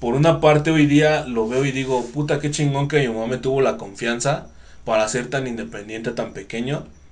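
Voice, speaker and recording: Audible room echo surrounds a man speaking at a moderate pace. His pitch is medium, with ordinary variation. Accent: Mexican. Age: 30s. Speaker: podcast host. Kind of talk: casual interview.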